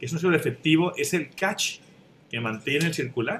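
Light background noise sits behind a man whose fairly high pitch, bright, sharp tone and lively intonation carry his speech. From Mexico. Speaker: writer; panelist. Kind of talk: panel discussion. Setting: video call. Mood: calm, reflective. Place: home room. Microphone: webcam.

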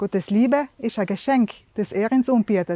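Over a quiet background with a dry sound and no echo, a woman with a South Tyrolean accent speaks at a moderate pace and fairly high pitch, in a dark, mellow tone with ordinary pitch variation. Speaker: devotional video host. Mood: calm, warm, sincere. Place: open country.

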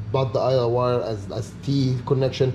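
A man with a somewhat breathy voice speaks over light background noise. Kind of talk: tutorial. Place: garage. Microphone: camera far.

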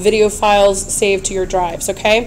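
A woman speaks over noticeable background noise. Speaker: teacher making tutorials. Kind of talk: tutorial. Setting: screencast recording. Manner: friendly, explanatory.

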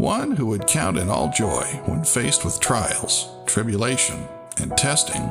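Fairly slow male speech over clear background music. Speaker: voice actor. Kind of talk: inspirational church tribute narration.

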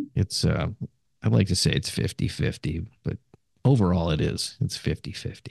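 Speaking fairly slowly with vocal fry, a man uses a very deep, low pitch and very wide pitch swings, with a dry, close sound and no echo. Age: 70s. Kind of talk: interview. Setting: remote call.

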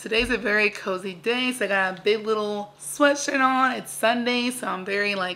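A woman at a moderate pace with hardly any pauses, ordinary pitch variation and big swings in loudness. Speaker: vlogger. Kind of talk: casual vlog chat. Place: home room. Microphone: phone near.

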